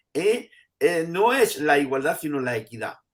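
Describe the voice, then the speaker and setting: A man with a normal speaking voice, at fairly high pitch and a fairly slow pace. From Andalusia, Spain. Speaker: professor emeritus of education. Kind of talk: interview answer.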